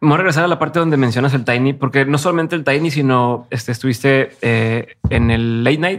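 A man talks fairly quickly with hardly any pauses, in an ordinary speaking voice at a medium pitch. His pitch varies in an ordinary way, and the recording is very clean with a silent background. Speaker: podcast host. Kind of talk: interview.

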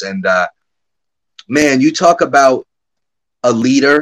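The voice carries an American accent with very wide pitch swings. The sound is dry and close, with no echo. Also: man. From Connecticut. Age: 30s. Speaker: former hockey general manager. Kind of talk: interview. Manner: halting.

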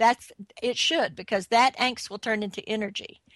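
A woman with an ordinary speaking voice speaks at a fairly slow pace in a fairly high pitch with ordinary pitch variation. The sound is dry and close with no echo, over a quiet background. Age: 60s. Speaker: film producer and entrepreneur. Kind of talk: interview.

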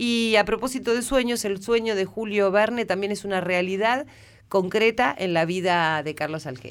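A woman's medium-pitched voice at a moderate pace, with ordinary pitch variation, a normal speaking voice, in a very clean recording with a silent background. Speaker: radio host. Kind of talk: radio interview show.

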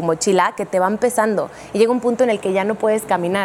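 Noticeable background noise sits under the recording. The woman talks at a fairly quick pace. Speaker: neurolinguistics specialist and communication coach. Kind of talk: talk show conversation. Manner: explanatory, teacherly.

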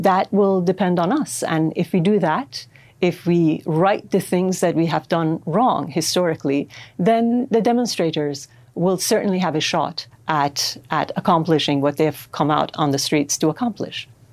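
A woman with a Persian accent speaks at a moderate pace with a fairly low pitch, ordinary pitch variation and very even loudness, in a very clean recording with a silent background. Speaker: writer. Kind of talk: interview.

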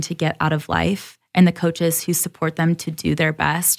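A woman speaks at a moderate pace with a fairly low pitch, vocal fry, and monotone, flat intonation, in a very clean recording with a silent background. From Michigan, Detroit area (Troy). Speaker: naturopathic doctor and content executive. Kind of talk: casual interview chat.

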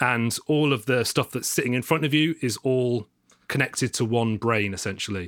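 Here is an ordinary speaking voice from a man at a medium pitch. He keeps a moderate pace with ordinary pitch variation. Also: very clean recording, silent background. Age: 30s. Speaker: mastering engineer and DJ. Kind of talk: casual chat.

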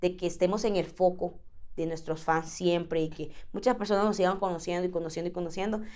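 An energetic woman with a Central American accent at a fairly quick pace, with ordinary pitch variation. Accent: Central American, informal. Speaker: singer. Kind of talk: casual chat.

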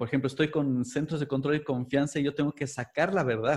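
Somewhat breathy and fairly high-pitched, a man with a Mexican accent talks at a fairly quick pace with ordinary pitch variation. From Mexico, Puebla. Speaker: body language expert. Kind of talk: interview.

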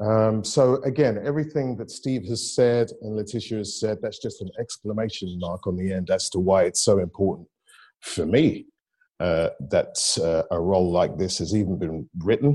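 A man's fairly low, dark and mellow voice in a London accent, at a moderate pace with ordinary pitch variation, over a quiet background. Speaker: actor. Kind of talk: panel discussion. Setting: video call.

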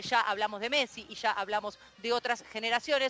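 The sound is dry and close, with no echo. There is noticeable background noise. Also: woman. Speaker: radio columnist. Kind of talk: storytelling on radio. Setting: radio program.

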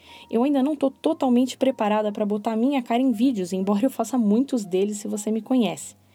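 Speaking at a very fast pace, a woman has a fairly high pitch with ordinary pitch variation. Her dark, mellow tone is somewhat breathy. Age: 30s. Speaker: podcast host. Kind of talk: solo podcast monologue. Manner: expressive.

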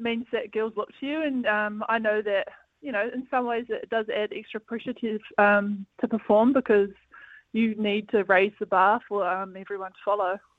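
A woman speaks with a New Zealand accent. Her intonation stays fairly even. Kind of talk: casual interview. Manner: relaxed, hesitant with fillers.

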